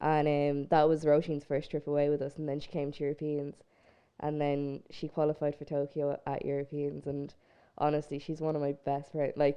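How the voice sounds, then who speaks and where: A woman speaks at a moderate pace with a very deep, low pitch. Her intonation is monotone and flat. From Ireland, County Laois (Portarlington). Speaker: Paralympic swimmer. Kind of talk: casual interview chat. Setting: studio.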